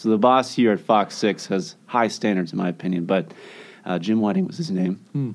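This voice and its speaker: With an American accent and a normal speaking voice, a man of fairly low pitch talks at a fairly quick pace, his intonation lively. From Rochester, Minnesota. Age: 20s. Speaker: TV meteorologist. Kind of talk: casual interview.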